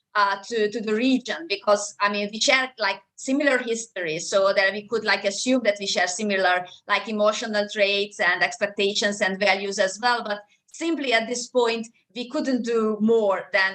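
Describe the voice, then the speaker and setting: Speaking with a Hungarian accent, a woman keeps a moderate pace and fairly even intonation. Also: medium pitch for a woman. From Hungary. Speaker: law professor. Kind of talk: academic panel discussion. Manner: halting, many repetitions.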